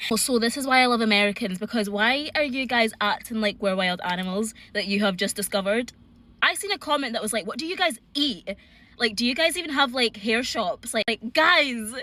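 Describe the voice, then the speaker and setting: Fairly quick and lively in intonation, a woman with a Scottish accent speaks at a fairly high pitch in a bright, sharp tone. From Scotland. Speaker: social media creator. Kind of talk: casual vlog.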